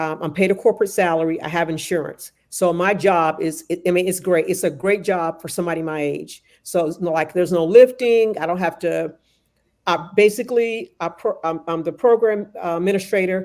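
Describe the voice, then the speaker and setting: On a very clean recording with a silent background, a woman with an unremarkable speaking voice talks fairly quickly at a fairly low pitch, with ordinary pitch variation. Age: 60s. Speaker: nonprofit program coordinator. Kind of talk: casual chat.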